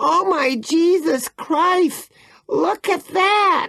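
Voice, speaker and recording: Shouting in a squeaky put-on character voice of extremely high pitch, the speaker goes at a very slow pace. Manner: screaming, fainting.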